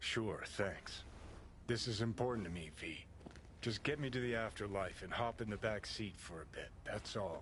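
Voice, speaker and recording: Over clear background noise, a man uses a put-on character voice at a fairly low pitch and a moderate pace. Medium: video game. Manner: terse, clipped sentences.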